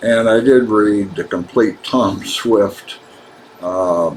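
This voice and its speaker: There is noticeable background noise as a man talks at a very slow pace with an American accent. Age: 70s. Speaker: author. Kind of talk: personal video monologue. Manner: halting, frequent uh fillers.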